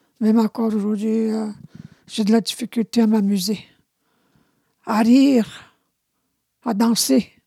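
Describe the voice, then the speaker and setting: A woman speaks at a fairly high pitch with a somewhat breathy, dark, mellow tone. Her fairly slow, fairly even delivery sounds dry and close with no echo. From Quebec, Abitibi (Anishinabe community). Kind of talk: testimony. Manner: halting.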